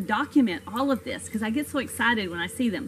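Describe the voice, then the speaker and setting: There is light background noise. Over it, a woman is speaking. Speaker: science educator. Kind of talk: lecture. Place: garden. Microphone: camera far.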